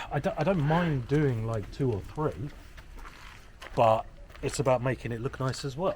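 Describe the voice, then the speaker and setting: A quiet man with an English accent, fairly high in pitch, at a moderate pace with ordinary pitch variation and long, frequent pauses. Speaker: property renovator. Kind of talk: casual chat. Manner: quiet voice.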